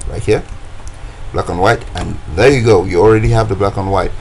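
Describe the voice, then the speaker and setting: There is noticeable background noise and audible room echo. Through it, a man speaks at a fairly low pitch. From West Africa. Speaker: design tutorial creator. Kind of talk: tutorial. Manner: casual, hesitant with many fillers.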